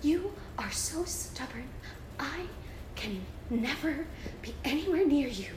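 A high-pitched, breathy put-on character voice moves at a fairly slow pace with long, frequent pauses over noticeable background noise. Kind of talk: theatrical. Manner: mocking, melodramatic stage delivery.

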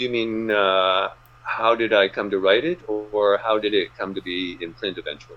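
An unremarkable speaking voice with fairly even intonation. The pace is moderate. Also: man, fairly low pitch for a man. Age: 60s. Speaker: author. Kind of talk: casual interview.

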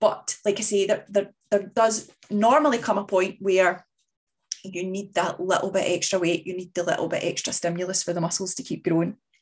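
At a moderate pace, a woman speaks with a medium pitch. Her pitch variation is ordinary. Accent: Scottish. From Scotland. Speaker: fitness coach podcast host. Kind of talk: solo podcast monologue. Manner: casual, hesitant with fillers.

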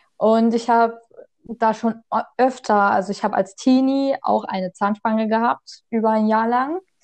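Her pitch fairly high and its variation ordinary, a woman speaks at a moderate pace. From Saxony, Germany. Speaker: podcast co-host. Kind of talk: casual chat. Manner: halting.

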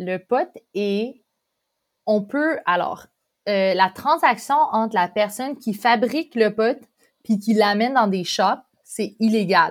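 The intonation is lively, and the pace is very slow with long, frequent pauses. The recording is very clean, with a silent background. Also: woman. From Quebec, Montreal. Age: 20s. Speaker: exchange student. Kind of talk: casual chat.

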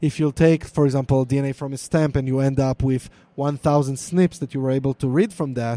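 Fairly even intonation and a dark, mellow tone, with an Israeli accent. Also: man. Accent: Israeli (Hebrew-accented) English. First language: Hebrew. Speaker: DNA product manager. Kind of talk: live interview. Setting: live recording at conference with onlookers.

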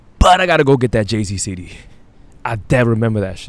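Here a man speaks with an American accent. His pitch is medium and his pace fairly quick. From Brooklyn, New York (Brownsville). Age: 30s. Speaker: podcaster. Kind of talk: casual monologue. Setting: outdoors, walking at night. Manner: halting, repeats words.

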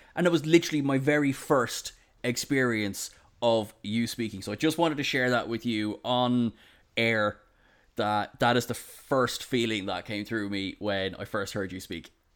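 On a very clean recording with a silent background, a man with an Irish accent speaks at a medium pitch. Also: ordinary pitch variation, moderate pace. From Ireland. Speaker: podcast host. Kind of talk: casual chat. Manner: halting.

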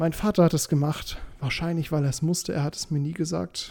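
A somewhat breathy man's voice, fairly high in pitch with a dark, mellow tone and ordinary pitch variation. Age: 20s. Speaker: podcast host. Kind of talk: casual monologue.

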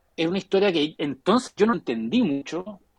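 A man with a Chilean accent speaks at a moderate pace with lively intonation and a fairly high pitch. The sound is dry and close, with no echo. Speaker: writer and graphic novelist. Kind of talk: casual chat. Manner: halting.

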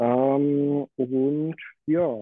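The man's voice sits at a fairly high pitch. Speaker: watchmaker. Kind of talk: casual chat.

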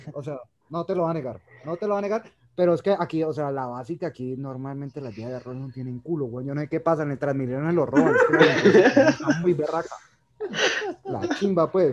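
The man's voice is fairly high in pitch, with ordinary pitch variation. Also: fairly quick pace. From Colombia, Cali. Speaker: medical professional and cinema entrepreneur. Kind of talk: casual chat.

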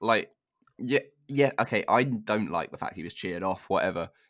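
In a very clean recording with a silent background, a man with a southern English accent speaks fairly quickly in a fairly low voice with vocal fry and very wide pitch swings. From southern England (Hertfordshire). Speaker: football podcast host. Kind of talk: casual chat.

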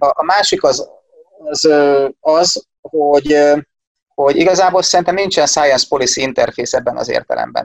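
A moderately paced man's voice, dry and close with no echo. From Hungary, Szeged. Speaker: economist, university lecturer. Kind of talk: casual interview.

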